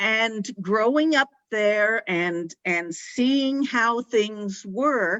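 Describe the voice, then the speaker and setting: A woman with an American accent talks very slowly with hardly any pauses, using a fairly high pitch and ordinary pitch variation. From Kansas. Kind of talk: panel discussion.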